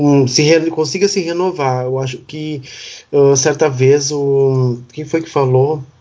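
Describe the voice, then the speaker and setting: The man talks at a very slow pace, his fairly high pitch held in fairly even intonation. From Rio Grande do Sul, Brazil (Uruguaiana). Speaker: podcast co-host, health professional. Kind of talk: casual chat.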